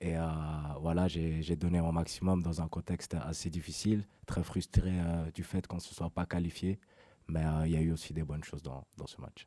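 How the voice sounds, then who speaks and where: A man talks in a very deep, low voice with a dark, mellow tone. His intonation is monotone and flat, and the sound is dry and close with no echo. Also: moderate pace. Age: 20s. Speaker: professional footballer. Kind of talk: press conference answers. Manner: hesitant, many fillers.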